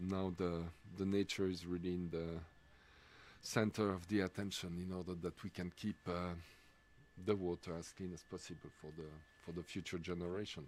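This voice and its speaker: A man with a French accent speaks at a moderate pace in a very deep, low pitch, his intonation monotone and flat, with long, frequent pauses. The recording is very clean, with a silent background. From Switzerland, French-speaking. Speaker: sports commentator. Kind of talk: live commentary. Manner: halting, many fillers.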